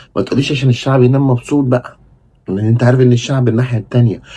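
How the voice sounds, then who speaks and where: A man with a Cairo accent talks at a medium pitch. His tone is dark and mellow, and somewhat breathy. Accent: Egyptian Arabic (Cairene). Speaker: football commentator, YouTuber. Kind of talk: casual monologue, fan commentary. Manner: animated; kept down, not raising voice at night.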